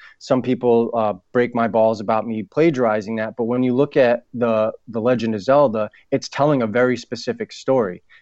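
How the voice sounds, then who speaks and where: An unremarkable speaking voice, this man talks with an American accent at a medium pitch and a moderate pace, with fairly even intonation, hardly any pauses, and a dry, close sound with no echo over a quiet background. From New England (Boston and Providence). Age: 30s. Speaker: author and actor. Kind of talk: casual interview. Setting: phone call.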